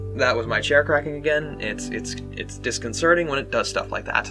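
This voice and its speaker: A man speaks at a fairly slow pace. Music plays behind him. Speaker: gaming video creator. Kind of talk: casual talk to camera. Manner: rambling, stuttering.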